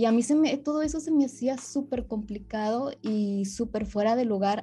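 Breathy to some degree, a woman's fairly high voice carries a dark, mellow tone. She keeps a moderate pace with hardly any pauses. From northern Mexico (Monterrey, Nuevo León). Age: 20s. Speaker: amputee and psychologist. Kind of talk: interview, personal testimony.

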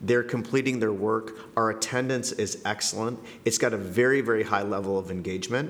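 The voice keeps a fairly even intonation over noticeable background noise. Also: man, medium pitch for a man, fairly quick pace. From Canada. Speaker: middle school principal. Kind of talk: podcast interview.

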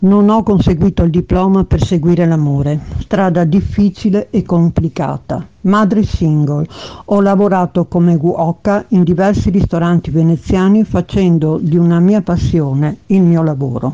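Woman's fairly low voice of very even loudness and ordinary pitch variation, against noticeable background noise. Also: fairly slow pace. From Venice, Italy. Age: 70s. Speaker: local election candidate. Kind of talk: campaign statement.

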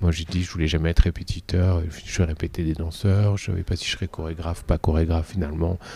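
Speaking at a fairly quick pace, a man uses a very deep, low voice with a dark, mellow tone, a somewhat breathy quality and fairly even intonation. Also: very clean recording, silent background. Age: 40s. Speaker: dance teacher and choreographer. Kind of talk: interview. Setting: dance venue.

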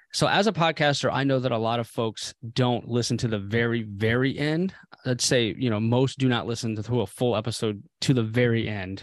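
In a normal speaking voice of medium pitch, a man talks at a moderate pace with ordinary pitch variation and hardly any pauses against a quiet background. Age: 30s. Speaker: podcast host and Air Force veteran. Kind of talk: interview conversation.

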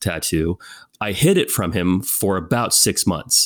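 A man with a West Coast American accent speaks at a fairly slow pace in a fairly low voice with ordinary pitch variation, captured in a very clean recording with a silent background. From Northern California, US. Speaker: film and television producer. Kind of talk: casual interview.

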